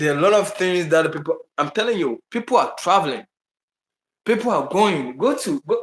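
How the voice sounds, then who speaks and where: A man with a Ghanaian accent speaks with lively intonation. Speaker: travel vlogger. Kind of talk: live stream chat. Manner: halting.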